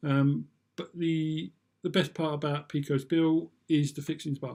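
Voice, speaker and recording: A man with a British accent has a fairly high pitch and a dark, mellow tone. His intonation stays fairly even on a very clean recording with a silent background. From UK. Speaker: vlogger. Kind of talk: casual review monologue. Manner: hesitant, many fillers.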